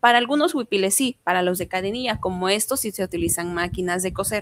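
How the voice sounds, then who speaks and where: This woman talks at a moderate pace in a medium-pitched voice. Her pitch varies in an ordinary way, and the sound is dry and close with no echo. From Mexico, Juchitán, Oaxaca. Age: 20s. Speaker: language student. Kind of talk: interview.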